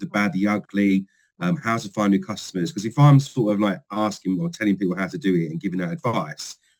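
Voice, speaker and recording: This man speaks at a fairly quick pace in a London accent. His voice is fairly low, with lively intonation. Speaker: company field trainer. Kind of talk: podcast interview. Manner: animated.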